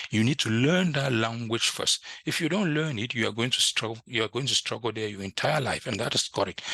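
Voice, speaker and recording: A man at medium pitch, fairly quick, with a bright, sharp tone, ordinary pitch variation, and a dry, close sound with no echo against a quiet background. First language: French. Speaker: IT instructor. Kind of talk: tutorial. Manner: halting.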